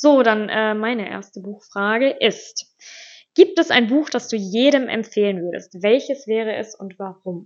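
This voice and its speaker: In a normal speaking voice, a woman speaks at a fairly slow pace with a fairly high pitch, ordinary pitch variation and big swings in loudness. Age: 20s. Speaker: podcast co-host, teacher-training student. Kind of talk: casual chat.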